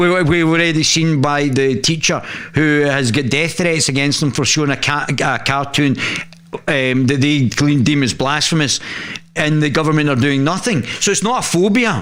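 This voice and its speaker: Amid audible room echo, a man speaks in a fairly high pitch at very even loudness. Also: ordinary pitch variation, moderate pace. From northern England, Lancashire. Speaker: political journalist and commentator. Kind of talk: live stream commentary on news article. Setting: live stream. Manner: halting, many restarts.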